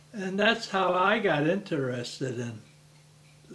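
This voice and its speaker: Fairly slow speech amid noticeable background noise and audible room echo. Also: man. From Newark, New Jersey. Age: 80s+. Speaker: grandparent interviewee. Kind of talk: family oral history interview. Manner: halting, with repeated words and false starts.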